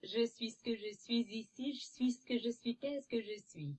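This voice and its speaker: Talking at a fairly quick clip, a female-sounding voice puts on a character voice pitched fairly high. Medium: solo performance. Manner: flat, monotone.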